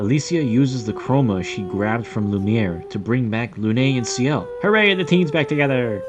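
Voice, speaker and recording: Over music in the background, a man with a medium pitch talks at a moderate pace with lively intonation and hardly any pauses. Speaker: gaming youtuber. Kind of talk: scripted narration.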